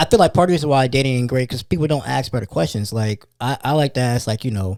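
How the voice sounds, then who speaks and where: A man speaks very fast at a medium pitch with lively intonation. The recording is very clean, with a silent background. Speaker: podcast guest. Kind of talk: casual chat. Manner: loud.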